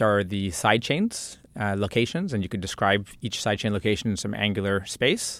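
With an American accent, a man speaks at a moderate pace in a plain, everyday voice pitched fairly low. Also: very clean recording, silent background. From central New Jersey, US. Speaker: computer science professor. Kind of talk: interview.

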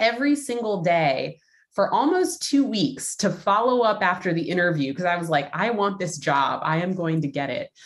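An unremarkable speaking voice: a woman with an American accent, medium pitch, lively intonation and a moderate pace. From Los Angeles. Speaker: business executive. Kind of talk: interview.

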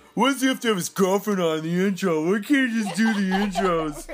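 A put-on character voice with a whiny tone rattles along at a fairly quick pace. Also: man, high pitch for a man. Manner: whiny, complaining.

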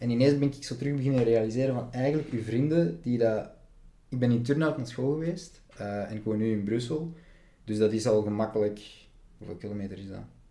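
Talking at a very fast pace, the voice has a dark, mellow tone, ordinary pitch variation, big swings in loudness, and audible room echo. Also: man, medium pitch for a man. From Flanders, near Antwerp. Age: 20s. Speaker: actor and film student. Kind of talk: casual chat.

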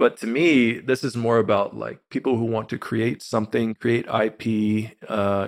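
A man with an ordinary speaking voice, fairly low in pitch, at a fairly slow pace. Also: dry, close sound with no echo. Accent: American. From Texas, Austin area. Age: 30s. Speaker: crypto marketing executive. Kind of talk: casual interview.

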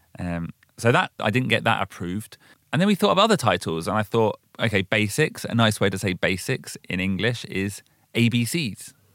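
On a very clean recording with a silent background and a dry, close sound with no echo, a man uses a plain, everyday voice at a fairly low pitch, speaking at a fairly slow pace with lively intonation. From London, UK. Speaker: podcast host. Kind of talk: casual chat; scripted narration.

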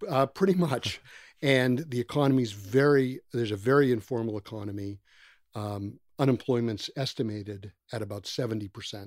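This man has an ordinary speaking voice, medium in pitch with ordinary pitch variation, at a moderate pace. His loudness swings widely. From US. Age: 60s. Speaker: nonprofit founder, former construction executive. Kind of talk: casual interview.

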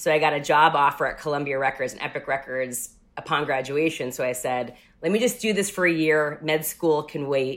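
Speaking in a New York accent, a woman talks at a fairly quick pace with a very deep, low pitch and ordinary pitch variation. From Rockland County, New York. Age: 30s. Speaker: music journalist and TV host. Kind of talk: casual interview. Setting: at home, remote call.

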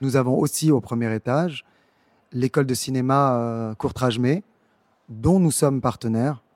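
The recording is very clean, with a silent background. A man speaks at medium pitch and a fairly slow pace, with ordinary pitch variation and long, frequent pauses. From Senegal, Dakar. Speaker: arts programmer and founder of a cultural agency. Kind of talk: interview monologue for an audio guide. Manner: hesitant, with fillers and repetitions.

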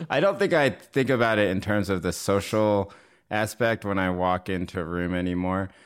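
This man has an American accent and a fairly low pitch. He speaks at a moderate pace on a very clean recording with a silent background. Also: ordinary pitch variation. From US South, North Carolina. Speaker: journalist and author. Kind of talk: interview. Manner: halting.

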